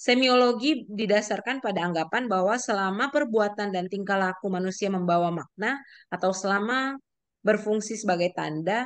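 A woman's medium-pitched voice with ordinary pitch variation and a moderate pace.

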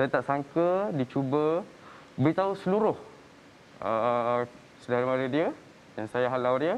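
A man at a fairly slow pace, lively in intonation, with long, frequent pauses and light background noise. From Malaysia. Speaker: son-in-law; talk show guest. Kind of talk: testimony. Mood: aggrieved, recounting family conflict. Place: studio. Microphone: lapel.

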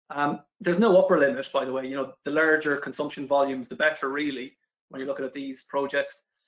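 A man with an Irish accent at a fairly quick pace. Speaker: renewable energy specialist. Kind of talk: corporate video interview. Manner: hesitant, frequent fillers.

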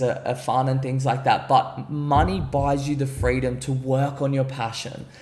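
A man with an Australian accent speaks at medium pitch in a monotone, flat intonation. He keeps a moderate pace with hardly any pauses. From Gold Coast, Australia; Queensland, Australia. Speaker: entrepreneur; podcast guest. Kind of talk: podcast interview; interview answer. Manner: casual, filler-heavy. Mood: relaxed, confident. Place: home room. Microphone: studio mic.

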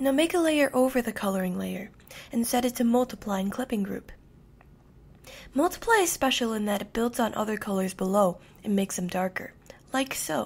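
A woman's fairly high, somewhat breathy voice at a fairly quick pace, with lively intonation and long, frequent pauses. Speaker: digital artist. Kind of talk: screen-recorded tutorial narration.

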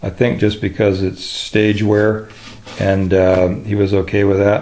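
A man with a plain, everyday voice speaks at a fairly slow pace in a fairly low pitch with fairly even intonation over light background noise. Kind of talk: tutorial. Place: workshop. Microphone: phone near.

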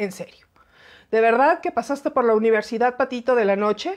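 Over a quiet background, a woman with an animated tone speaks at a fairly high pitch and moderate pace with ordinary pitch variation. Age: 40s. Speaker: aviation commentator, former flight attendant; aviation commentator. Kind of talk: live-stream commentary. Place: home room. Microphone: phone near.

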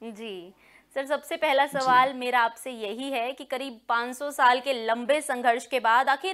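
A woman's high, bright, sharp voice at a very slow pace, fairly even in intonation yet with big swings in loudness, over a quiet background. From Haryana (Rohtak); Haryana, India. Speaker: news anchor and interviewer; news anchor, interviewer. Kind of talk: interview. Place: studio.

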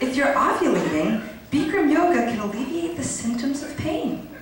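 At a moderate pace, a woman with a high pitch speaks with very wide pitch swings, strong room echo and noticeable background noise. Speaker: comedic actress. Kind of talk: yoga class parody narration, scripted comedy sketch. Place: stage. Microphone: camera far.

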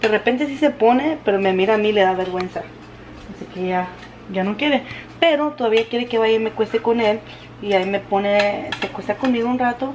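Her fairly high voice moves at a fairly quick pace with ordinary pitch variation, and a woman is heard over light background noise. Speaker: vlogger mom. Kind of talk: casual vlog. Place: kitchen. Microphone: phone near.

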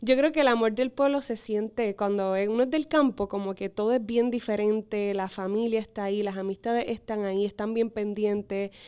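A woman's fairly high-pitched, dark, mellow voice at a moderate pace, with fairly even intonation, hardly any pauses and a quiet background. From Puerto Rico, Corozal; Puerto Rico. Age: 20s. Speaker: beauty pageant contestant; guest. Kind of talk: interview. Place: studio. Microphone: studio mic.

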